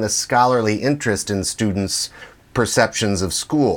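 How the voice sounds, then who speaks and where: Here is a normal speaking voice with lively intonation. The pace is moderate. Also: man. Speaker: podcast host. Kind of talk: interview.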